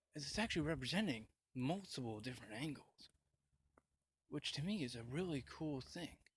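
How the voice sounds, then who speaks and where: With lively intonation and a somewhat breathy sound, a man moves along at a fairly quick pace. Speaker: vlogger. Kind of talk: casual vlog rant. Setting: on a bus, handheld camera. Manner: halting, many fillers.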